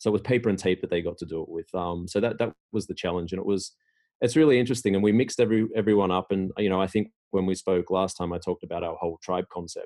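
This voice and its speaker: Over a quiet background, a man talks very fast in a dark, mellow tone, his fairly low pitch held in fairly even intonation. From Australia. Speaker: tech executive. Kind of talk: interview. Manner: hesitant, many fillers.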